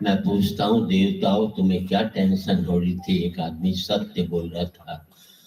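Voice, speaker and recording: With a Haryana accent, a man speaks in a very deep, low pitch and a monotone, flat delivery with hardly any pauses. Music plays in the background. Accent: Haryanvi. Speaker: comic poet. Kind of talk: humorous poetry stage performance.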